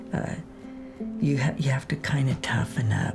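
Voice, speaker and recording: Music in the background and audible room echo surround a woman as she talks. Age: 70s. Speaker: rancher. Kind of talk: documentary interview.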